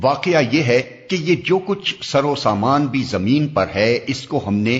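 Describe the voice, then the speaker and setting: A man is speaking. His pitch swings very widely. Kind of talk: scripture translation reading.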